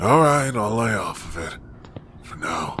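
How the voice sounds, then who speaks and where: Under light background noise, a man puts on a raspy character voice at medium pitch, talking at a moderate pace. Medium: audio drama. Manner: gruff, world-weary.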